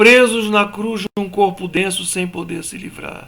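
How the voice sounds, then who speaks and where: A man's raised, projected voice at a fairly slow pace, with noticeable background noise and audible room echo. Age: 60s. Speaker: spiritual teacher. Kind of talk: lecture. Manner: conversational.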